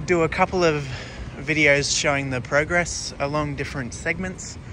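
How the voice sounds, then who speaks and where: In a dry recording with no echo but noticeable background noise, a man speaks fairly slowly with fairly even intonation. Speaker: rail vlogger. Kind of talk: casual vlog chat. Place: street. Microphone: phone near.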